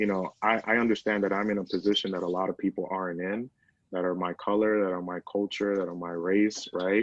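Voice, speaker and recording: Against a quiet background, a man with a Spanish accent talks at a fairly quick pace. His pitch is fairly low and his intonation is monotone and flat. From Dominican heritage, US. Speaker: SEO director at a news organization. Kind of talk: interview. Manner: many fillers and repetitions.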